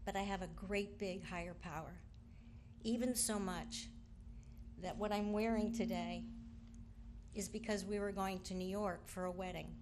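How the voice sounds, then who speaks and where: A woman's medium-pitched voice at a moderate pace, monotone and flat, with long, frequent pauses and audible room echo. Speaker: sister of the deceased giving a eulogy. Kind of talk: eulogy. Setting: funeral at a memorial park. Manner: halting, many ums.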